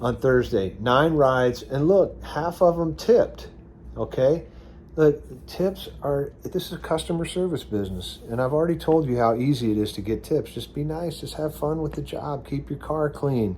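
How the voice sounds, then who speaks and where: With lively intonation and a somewhat breathy quality, a man talks at a moderate pace in a fairly high pitch for a man. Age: 60s. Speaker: gig delivery and rideshare driver vlogger. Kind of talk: casual tutorial vlog. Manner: conversational with frequent fillers and restarts.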